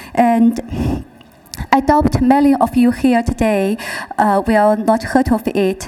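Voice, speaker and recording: A woman with a Chinese accent, fairly high in pitch, at a very slow pace with very even loudness and fairly even intonation, against noticeable background noise. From China, Guizhou province. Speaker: social entrepreneur. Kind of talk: prepared speech read aloud.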